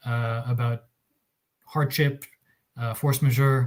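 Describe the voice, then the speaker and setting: A man speaks at a moderate pace in a medium-pitched, somewhat breathy voice with fairly even intonation. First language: Russian. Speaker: arbitration lawyer. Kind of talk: panel presentation. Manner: hesitant, many fillers.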